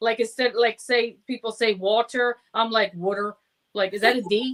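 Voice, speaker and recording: A woman with a New Jersey accent, fairly high pitch, and monotone, flat intonation. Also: moderate pace. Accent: typical New Jersey. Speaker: show co-host. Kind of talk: casual chat.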